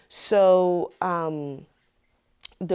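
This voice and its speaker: The woman's voice has a dark, mellow tone. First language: French. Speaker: community advocate. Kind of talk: interview testimony. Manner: halting, many fillers.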